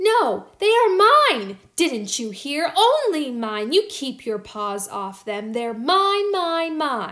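In a put-on character voice, the speaker drawls at a very slow pace with very wide pitch swings. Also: woman. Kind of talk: bedtime story. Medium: read story. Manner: angry, possessive, huffy.

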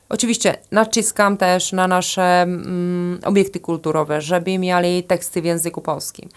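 The voice is monotone and flat, with very even loudness and hardly any pauses at a moderate pace. The recording is very clean, with a silent background. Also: woman, fairly low pitch for a woman. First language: Czech (speaking Polish). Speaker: tourism agency director. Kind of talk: interview. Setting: studio.

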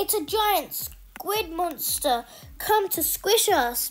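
A squeaky, put-on character voice drawls along at a very slow pace. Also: woman, extremely high pitch for a woman.

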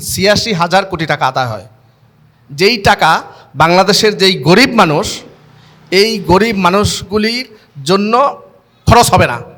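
Pitched high for a man, this voice has ordinary pitch variation. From Bangladesh, Chandpur. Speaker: charity branch head. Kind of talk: public speech.

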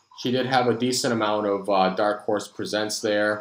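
A man speaks at a moderate pace and fairly low pitch, with audible room echo.

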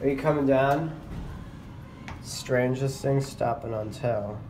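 With audible room echo, a man speaks slowly at a medium pitch. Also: ordinary pitch variation.

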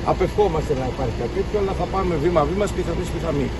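A man speaks at a very fast pace. Loud background noise runs underneath. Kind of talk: press statement. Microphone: handheld.

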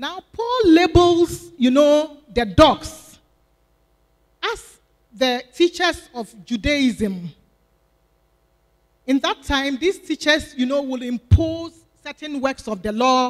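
Her voice is high-pitched, and she talks very slowly, with long, frequent pauses. The woman's loudness swings a lot, over a quiet background. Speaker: deaconess preaching. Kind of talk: sermon. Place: church. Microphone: handheld.

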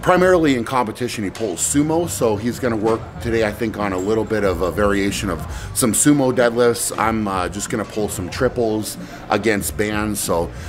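A man with a fairly low pitch speaks at a fairly quick pace while clear music plays in the background. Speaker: strength athlete vlogger. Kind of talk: casual vlog chat. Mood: upbeat, relaxed. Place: office. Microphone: phone near.

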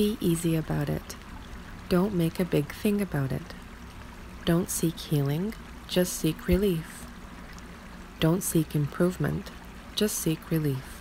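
A soft-spoken woman's voice, calm in tone and fairly low in pitch, with long, frequent pauses. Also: ordinary pitch variation, fairly slow pace. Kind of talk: meditation / self-help affirmation reading. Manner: soft-spoken, calm.

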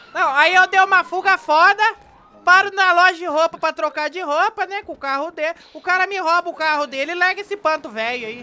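Putting on a shrill character voice at an extremely high pitch, a man talks at a fairly quick pace.

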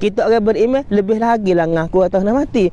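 The high-pitched man speaks with ordinary pitch variation, in a dry sound with no echo. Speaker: Islamic religious teacher; religious teacher. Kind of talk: religious lecture. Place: beach. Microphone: equipment issue, replaced; lapel.

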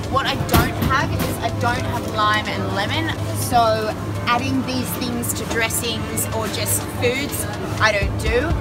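Music plays loudly behind the speaker. She is a woman. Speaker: vlogger. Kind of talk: casual vlog chat. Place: shop. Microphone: phone near.

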